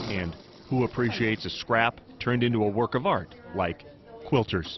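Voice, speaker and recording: Music plays behind a man speaking at a moderate pace. His pitch is medium, with ordinary variation. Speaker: TV news reporter. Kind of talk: TV news feature narration.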